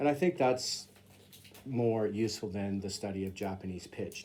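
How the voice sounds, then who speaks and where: A man speaks at a moderate pace, his fairly low voice carrying a dark, mellow tone. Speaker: English teacher in Japan. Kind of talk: casual explanatory monologue. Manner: hesitant with frequent fillers.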